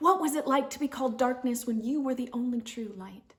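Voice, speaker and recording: A woman speaks at a moderate pace with ordinary pitch variation. Hers is an unremarkable speaking voice. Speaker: spoken word poet. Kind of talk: spoken word poetry performance.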